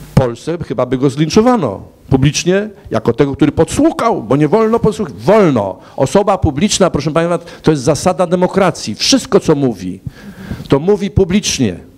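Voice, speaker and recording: His speech moves at a fairly quick pace, pitched fairly high for a man. The pitch swings up and down very widely. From Poland. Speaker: former Polish-American diaspora organization director; panelist. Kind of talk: panel debate. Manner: halting. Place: hall. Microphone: handheld.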